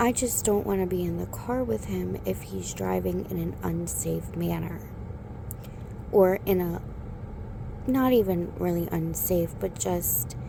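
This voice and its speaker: A soft-spoken voice at a fairly slow pace, with noticeable background noise. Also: woman. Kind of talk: ASMR relationship talk.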